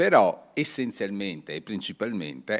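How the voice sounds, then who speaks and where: Here a man speaks at a fairly low pitch. His voice carries vocal fry. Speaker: author giving a talk. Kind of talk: lecture. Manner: hesitant, with frequent fillers.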